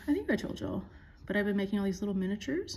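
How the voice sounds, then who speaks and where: A quiet, somewhat breathy voice with a dark, mellow tone, in an American accent. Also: woman. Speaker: art teacher. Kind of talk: tutorial. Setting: pre-recorded at home.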